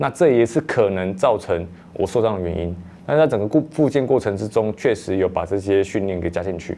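Fairly quick and lively in intonation, a man talks with a dark, mellow tone. His pitch is fairly low. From Taiwan. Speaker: marathon runner. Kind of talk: interview monologue. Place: studio. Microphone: lapel.

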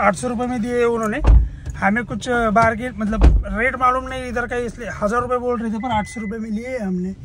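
A man's extremely high-pitched voice at a moderate pace, with faint background noise.

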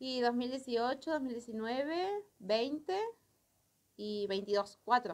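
Speaking at a very slow pace, a woman uses a high pitch and lively intonation. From Corrientes, Argentina. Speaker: carnival dancer; interviewee. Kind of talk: interview. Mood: emotional, lively recollection. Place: studio. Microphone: handheld.

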